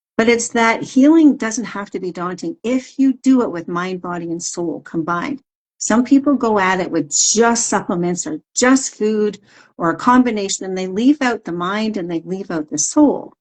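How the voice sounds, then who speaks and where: A woman with a normal speaking voice, fairly high pitch, lively intonation, moderate pace and big swings in loudness. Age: 60s. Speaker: wellness coach. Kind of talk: interview. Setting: social media live stream.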